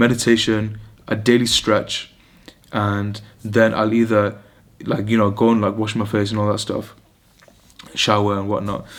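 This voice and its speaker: With noticeable background noise behind him, a man with a British accent speaks in a fairly low, monotone, flat voice at a moderate pace, leaving long, frequent pauses. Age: 20s. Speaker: vlogger, medical student. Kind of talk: casual vlog monologue. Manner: rambling, hesitant with fillers.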